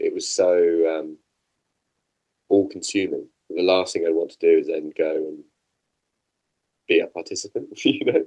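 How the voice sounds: A man with a slightly mellow tone speaks with long, frequent pauses.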